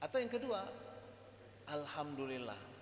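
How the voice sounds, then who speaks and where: A man speaks with ordinary pitch variation. The room echoes audibly, and background noise is noticeable. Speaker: Islamic religious lecturer. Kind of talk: religious lecture. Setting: mosque with audience. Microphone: microphone too quiet, switched mics.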